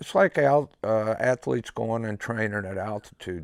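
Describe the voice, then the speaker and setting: A man with an American accent and an ordinary speaking voice, fairly low in pitch with ordinary pitch variation and a moderate pace, on a very clean recording with a silent background and a dry, close sound with no echo. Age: 60s. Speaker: one-loft pigeon race operator. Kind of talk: documentary interview. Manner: casual, blunt.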